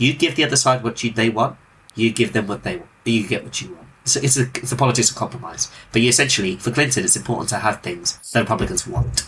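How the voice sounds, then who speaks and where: A man with a British accent at a very fast pace, ordinary pitch variation and big swings in loudness. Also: medium pitch for a man. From Britain. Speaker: podcast host. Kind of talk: casual political discussion.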